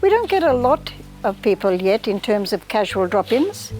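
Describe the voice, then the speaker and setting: A woman talks at a moderate pace. Music plays in the background. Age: 70s. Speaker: local business owner. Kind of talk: interview.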